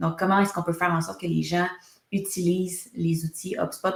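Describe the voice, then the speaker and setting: Monotone, flat intonation marks this woman's voice, which sits at a fairly low pitch. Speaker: HubSpot consultancy founder, webinar host. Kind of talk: webinar presentation.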